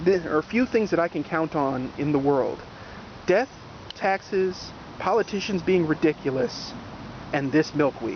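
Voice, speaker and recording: A man talks at a moderate pace in a high pitch with lively intonation. He leaves long, frequent pauses. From New Jersey. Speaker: gardening video host. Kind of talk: casual outdoor garden tour. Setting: outdoors in a garden. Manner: casual, animated.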